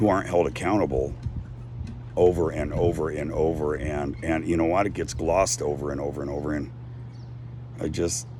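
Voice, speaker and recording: Amid noticeable background noise and audible room echo, a man with an American accent speaks fairly quickly with lively intonation. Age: 60s. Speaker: activist vlogger. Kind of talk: casual monologue. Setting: outdoors on a deck.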